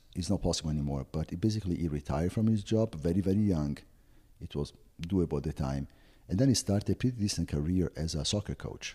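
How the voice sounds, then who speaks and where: A man's very deep, low voice with a dark, mellow tone, lively intonation and a very fast pace. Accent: Italian. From Italy, Florence. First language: Italian. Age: 50s. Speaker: travel agency owner. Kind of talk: interview.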